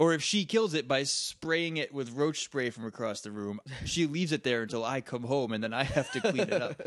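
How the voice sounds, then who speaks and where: In a normal speaking voice, the talk runs at a fairly quick pace with lively intonation and hardly any pauses. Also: man, fairly high pitch for a man. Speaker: podcast co-host. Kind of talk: casual chat. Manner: laughs often.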